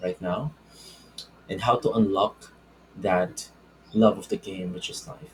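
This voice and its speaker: A man speaks with a non-native accent. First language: not English. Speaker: self-help video creator. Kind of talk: spiritual self-help talk with whiteboard. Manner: halting, with false starts.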